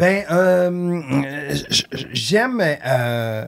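Lively intonation runs through what the man says. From Quebec. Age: 50s. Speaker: artist manager and podcaster; podcast guest. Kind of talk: casual chat. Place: studio. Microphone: studio mic.

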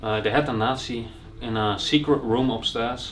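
A man's fairly even intonation over faint music in the background. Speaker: urban explorer vlogger. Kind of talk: casual vlog chat. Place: home room. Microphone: camera far.

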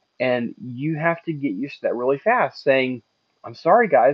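A man talks at a fairly quick pace, the sound dry with no echo and the background quiet. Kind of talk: casual vlog advice.

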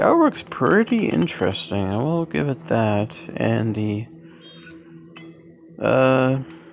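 A man talks at a very slow pace with long, frequent pauses. Noticeable background noise sits behind him. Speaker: gaming youtuber. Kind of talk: let's play commentary. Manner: slurred, hesitant with fillers.

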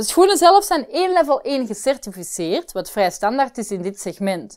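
Against a quiet background, a woman's high-pitched voice moves through very wide pitch swings. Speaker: presenter. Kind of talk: product review presentation. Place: studio.

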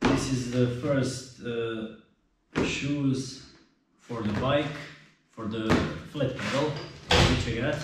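A man with a Croatian accent at a medium pitch, very slow and monotone with flat intonation, amid loud background noise and audible room echo. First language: not English. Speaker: mountain biker. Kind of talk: casual product review to camera. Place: garage.

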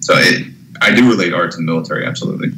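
A man with a very deep, low pitch talks at a very fast pace. Noticeable background noise is present. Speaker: theater technician. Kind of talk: casual chat. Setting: remote call.

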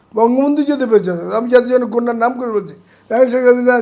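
The man's voice sits high in pitch with ordinary pitch variation. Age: 70s. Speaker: war veteran and former civil servant. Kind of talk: political commentary interview. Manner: animated; halting.

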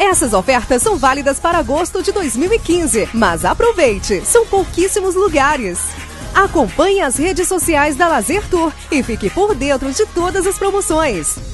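Against music in the background, a woman talks at a moderate pace with an extremely high pitch, very wide pitch swings and very even loudness. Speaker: voiceover announcer. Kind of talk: TV commercial read.

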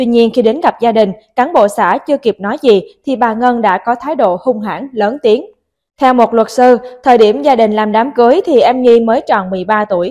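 A woman speaks at a moderate pace in a fairly high pitch, her tone dark and mellow. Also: ordinary pitch variation. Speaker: news reader. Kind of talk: news reading.

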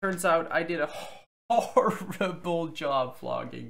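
A man speaks with vocal fry and a fairly bright tone. His pitch variation is ordinary.

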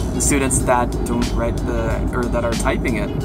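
A man speaks at a moderate pace with music in the background. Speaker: fitness trainer. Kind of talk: casual vlog chat. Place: car. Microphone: phone near.

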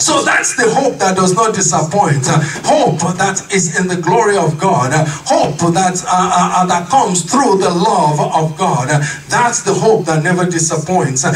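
Shouting over background music in a room with audible echo, a high-pitched man speaks fairly slowly at very even loudness with ordinary pitch variation. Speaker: pastor. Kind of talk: sermon. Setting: church. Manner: impassioned, rhythmic repetition of refrains building to exclamations; call-and-response, urging congregation to shout amen. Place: church.

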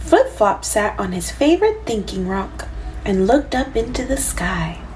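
An unforced reading voice carries the whole clip.

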